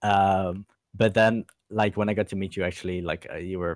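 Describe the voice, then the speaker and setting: A man with a Dutch accent talks at a very fast pace in a very deep, low pitch with monotone, flat intonation. The very clean recording has a silent background and a dry, close sound with no echo. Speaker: esports fan community member. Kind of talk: casual chat. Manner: halting, many fillers.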